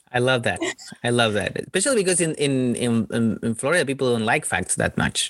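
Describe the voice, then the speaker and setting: A man with a Spanish accent talks fairly quickly at a medium pitch. His loudness stays very even and his pitch varies in an ordinary way. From Chile. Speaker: stand-up comedian. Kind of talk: casual chat. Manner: halting.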